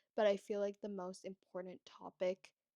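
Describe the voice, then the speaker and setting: In a Canadian accent, a woman talks at a fairly slow pace in a normal speaking voice, with a dry, close sound and no echo. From Toronto, Canada. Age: 20s. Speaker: lifestyle vlogger, university student. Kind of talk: casual talk to camera.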